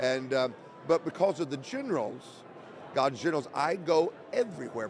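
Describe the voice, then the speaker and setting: At a moderate pace, a man with an American accent speaks at a fairly high pitch over noticeable background noise. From Oklahoma, US. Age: 60s. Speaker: evangelist and podcast host. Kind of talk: casual interview conversation. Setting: convention interview.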